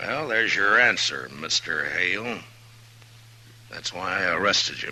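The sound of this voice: A man's put-on character voice, low-pitched with a bright, sharp tone, lively intonation and a fairly slow pace, over faint background noise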